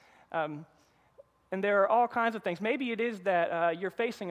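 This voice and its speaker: A man with a North Carolina accent and ordinary pitch variation. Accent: North Carolina Southern US. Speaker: pastor. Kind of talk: sermon. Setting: church.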